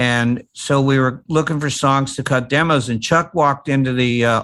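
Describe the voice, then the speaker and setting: Against a quiet background, a man with a fairly high pitch and a bright, sharp tone speaks at a moderate pace. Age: 80s+. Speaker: mix engineer and record producer. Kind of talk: casual interview chat.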